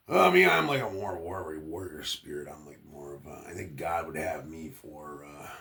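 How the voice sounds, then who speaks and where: Very deep and low, a man speaks at a moderate pace with fairly even intonation and big swings in loudness, amid noticeable background noise. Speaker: vlogger. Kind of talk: casual monologue. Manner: halting.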